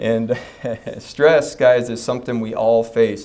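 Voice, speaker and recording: A man's voice with audible room echo. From North Dakota (Fargo), US Upper Midwest. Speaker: chiropractor giving a talk. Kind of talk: health talk to a live audience. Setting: stage with audience at a health expo. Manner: casual, joking, with frequent fillers.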